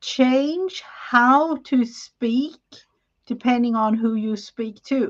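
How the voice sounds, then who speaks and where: Very slow speech comes in a non-native accent. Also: woman. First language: not English. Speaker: crafting collaborator. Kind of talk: casual chat.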